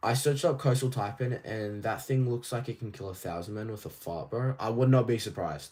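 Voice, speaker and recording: With an Australian accent, a man at a medium pitch talks at a fairly quick pace with hardly any pauses, his somewhat breathy voice dark and mellow in tone, with ordinary pitch variation. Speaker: toy collecting streamer. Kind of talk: live stream chat. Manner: casual, rambling with fillers.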